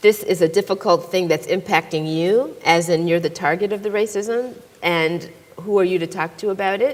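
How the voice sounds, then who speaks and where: In a normal speaking voice, a woman speaks at a medium pitch and a moderate pace with ordinary pitch variation. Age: 60s. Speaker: psychologist and author. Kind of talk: moderated panel conversation.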